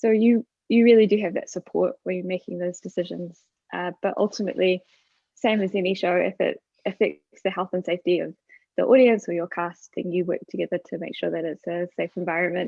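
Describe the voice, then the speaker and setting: A woman speaks at a medium pitch with fairly even intonation. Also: fairly quick pace. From New Zealand. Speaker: stage manager. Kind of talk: panel discussion.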